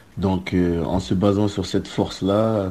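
A man with a very deep, low pitch, a dark, mellow tone and flat, monotone intonation. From southern France (Marseille). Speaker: student athlete, soccer player. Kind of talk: recorded interview commentary.

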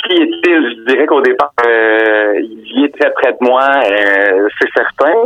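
Over noticeable background noise, a man with a medium pitch speaks at a very slow pace with hardly any pauses and very even loudness. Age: 40s. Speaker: novelist. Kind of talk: interview. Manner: halting.

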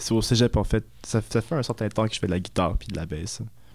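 Over a very clean recording with a silent background, a man speaks with fairly even intonation. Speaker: musician, saxophone and electronics. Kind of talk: casual radio interview.

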